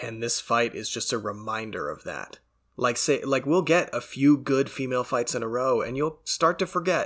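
In a Canadian accent, a normal speaking voice moves at a moderate pace with ordinary pitch variation on a very clean recording with a silent background. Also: man, medium pitch for a man. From Canada. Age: 20s. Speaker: MMA podcast host. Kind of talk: casual solo commentary. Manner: casual, stumbling.

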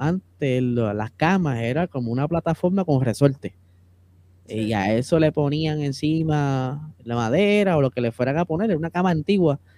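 This man has an ordinary speaking voice, fairly high in pitch, with lively intonation. He talks at a moderate pace, and the sound is dry and close with no echo. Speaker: podcast co-host, motorsport content creator. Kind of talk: casual chat.

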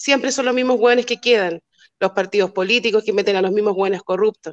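Using a normal speaking voice, a woman talks fairly quickly at a fairly high pitch with fairly even intonation, in a dry, close sound with no echo. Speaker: community activist. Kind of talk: casual chat.

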